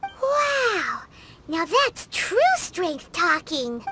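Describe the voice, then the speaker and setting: An extremely high, put-on character voice with very wide pitch swings, over music in the background. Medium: video game. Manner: excitable, exclamatory.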